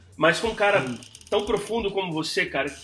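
A man at a fairly quick pace, ordinary pitch variation, music in the background. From New York, USA (Brazilian-born). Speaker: podcast host. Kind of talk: casual chat.

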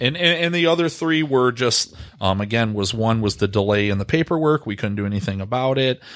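Here a man talks at a fairly quick pace. He has a Michigan accent and a medium pitch. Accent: Midwestern US (Michigan). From Michigan, Grosse Pointe. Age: 30s. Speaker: real estate agent. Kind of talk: casual chat.

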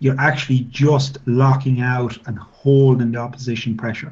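With an Irish Midlands accent, a man talks fairly slowly in a somewhat breathy voice of medium pitch, his intonation monotone and flat. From Ireland, Midlands (County Offaly). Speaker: former professional rugby player and scrum coach. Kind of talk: interview. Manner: halting, many fillers.

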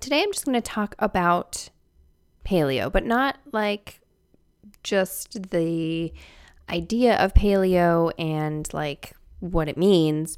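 Quiet and very slow, the voice carries lively intonation on a very clean recording with a silent background. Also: woman. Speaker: podcast host. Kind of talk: casual podcast monologue.

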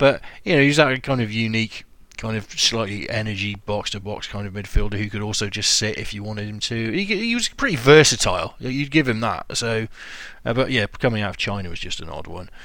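Speaking at a fairly quick pace with a British accent, a man with a medium pitch and a bright, sharp tone shows big swings in loudness and ordinary pitch variation. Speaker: podcast host. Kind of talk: casual chat.

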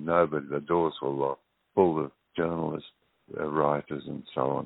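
Speaking at a moderate pace, a man with a very deep, low pitch keeps his intonation fairly even. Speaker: campaigner. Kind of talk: interview. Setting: phone call.

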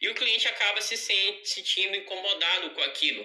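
There is noticeable background noise behind this man's high-pitched voice. He keeps a moderate pace and fairly even intonation. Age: 20s. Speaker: home pet grooming entrepreneur. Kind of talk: pre-recorded audio contribution. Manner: articulate.

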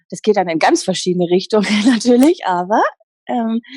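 Somewhat breathy and fairly high-pitched, a woman speaks at a moderate pace with lively intonation, the sound dry and close with no echo. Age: 30s. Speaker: happiness coach. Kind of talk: interview. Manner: animated.

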